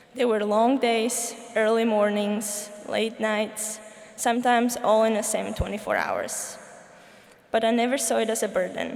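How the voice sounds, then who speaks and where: With audible room echo and noticeable background noise, a woman speaks at a moderate pace in a fairly high pitch with monotone, flat intonation. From Slovakia. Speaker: student commencement speaker. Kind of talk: commencement speech. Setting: stage with audience.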